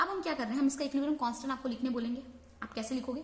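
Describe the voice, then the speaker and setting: Audible room echo and clearly noticeable background noise around a woman's voice. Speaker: online chemistry teacher. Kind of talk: lecture. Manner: Hindi-English code-switching.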